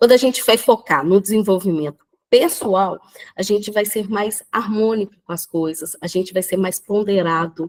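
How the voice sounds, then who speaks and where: An ordinary speaking voice from a woman, medium in pitch with ordinary pitch variation, at a moderate pace in a dry, close sound with no echo. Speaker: personal development speaker. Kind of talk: live talk on video call. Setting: video call from the beach.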